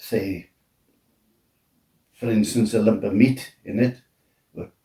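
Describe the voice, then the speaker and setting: A man speaks very slowly with a Welsh accent, his pitch fairly low. His tone is dark and mellow, and somewhat breathy. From Wales. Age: 90s. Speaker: retired steelworker and military veteran. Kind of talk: interview answer. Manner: hesitant.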